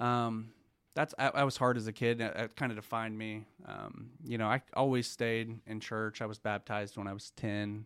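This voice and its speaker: The recording is very clean with a silent background. A man at medium pitch speaks with monotone, flat intonation. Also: moderate pace. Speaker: church small group leader. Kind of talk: testimony.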